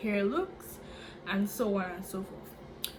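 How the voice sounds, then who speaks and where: A woman with an animated tone speaks amid noticeable background noise and audible room echo. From Dominica. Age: 20s. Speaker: YouTuber and student. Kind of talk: casual vlog intro.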